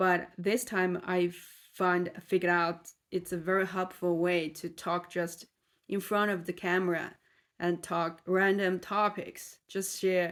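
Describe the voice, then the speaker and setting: On a very clean recording with a silent background, a woman speaks at a fairly low pitch and a fairly slow pace, in monotone, flat intonation. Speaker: vlogger practicing English. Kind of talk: casual monologue to camera. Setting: talking alone in front of a camera. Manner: halting, with self-corrections.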